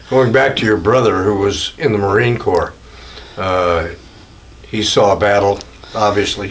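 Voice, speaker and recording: Against noticeable background noise, a man speaks at a fairly slow pace with long, frequent pauses, a fairly low pitch and ordinary pitch variation. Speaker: veteran interviewer. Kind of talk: interview questions.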